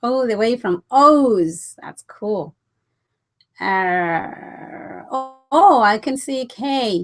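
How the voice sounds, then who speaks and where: A woman with a non-native accent speaks at a high pitch, with very wide pitch swings. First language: not English. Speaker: business coach. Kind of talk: webinar presentation. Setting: online webinar. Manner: animated.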